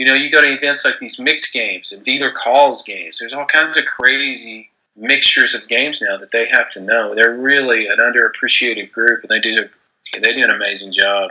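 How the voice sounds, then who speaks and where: The speech moves at a fairly quick pace. Loudness swings widely throughout. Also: man. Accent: Texas. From Texas. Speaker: gambling writer and podcast host. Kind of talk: interview. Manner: not very animated.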